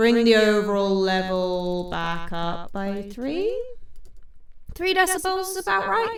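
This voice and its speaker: A woman's medium-pitched voice with a British accent, plus audible room echo. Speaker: indie musician and producer, channel host. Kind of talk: tutorial. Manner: casual thinking aloud.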